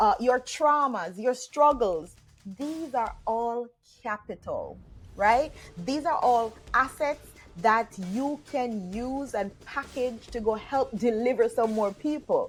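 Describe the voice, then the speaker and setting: A woman with a Jamaican accent talks at a very slow pace in a high voice with ordinary pitch variation. Music plays in the background. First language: Jamaican Patois. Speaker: online business coach. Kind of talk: motivational talk to camera. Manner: casual.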